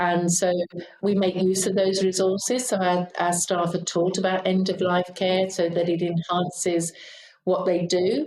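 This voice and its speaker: A woman speaks with a British accent at a fairly slow pace. Her pitch sits in the medium range. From UK. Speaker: aged care leader. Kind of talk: interview.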